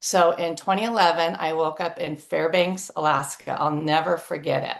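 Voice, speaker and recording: A woman speaks with a fairly low pitch against a quiet background. It is an ordinary speaking voice. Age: 60s. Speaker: flight attendant sharing health testimony. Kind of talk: testimony.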